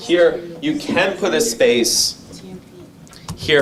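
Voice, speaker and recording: Noticeable background noise and audible room echo fill the clip. A man talks with very wide pitch swings. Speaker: data skills instructor. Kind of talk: lecture.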